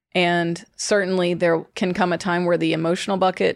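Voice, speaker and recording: A woman with an American accent talks at a moderate pace and fairly low pitch. Her intonation is monotone and flat, on a very clean recording with a silent background. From US South, Georgia. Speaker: fertility doctor. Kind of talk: casual chat.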